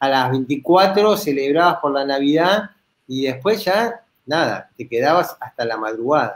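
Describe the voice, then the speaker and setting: Lively intonation from a man with a Rioplatense accent. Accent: Argentine Rioplatense Spanish. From Argentina. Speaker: guest, travel blogger. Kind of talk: live panel chat. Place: home room.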